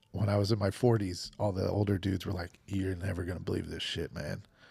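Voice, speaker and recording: A normal speaking voice from a man with an American accent, fairly low in pitch, with fairly even intonation. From Nebraska. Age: 50s. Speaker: professional gambler. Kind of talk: casual chat.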